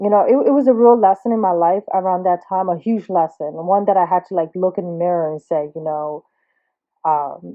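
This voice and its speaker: Speaking at a fairly quick pace with a New Jersey accent, a woman uses a medium pitch and ordinary pitch variation. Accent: New Jersey American. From Trenton, New Jersey, US. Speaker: artist. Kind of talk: personal monologue. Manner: halting, self-admitted stuttering.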